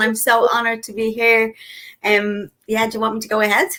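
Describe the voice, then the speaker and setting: In a Dublin accent, a woman talks at a fairly high pitch with a bright, sharp tone. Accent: Irish (Dublin). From Ireland, Dublin. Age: 40s. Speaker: network marketer. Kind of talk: interview testimony. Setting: live video stream.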